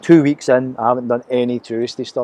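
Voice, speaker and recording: With a Glasgow accent, a man speaks in a flat monotone at medium pitch, his dark, mellow tone captured in a dry, close sound with no echo. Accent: Scottish (Glaswegian), noticed by Americans. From Scotland, Glasgow. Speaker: vlogger. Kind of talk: casual video diary. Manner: unscripted, hesitant with fillers.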